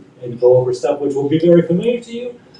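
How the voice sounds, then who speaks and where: Over noticeable background noise, a man speaks very fast. His pitch is fairly high and his intonation lively. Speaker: panelist at a human rights conference. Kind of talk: conference panel presentation. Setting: conference room with audience and translator.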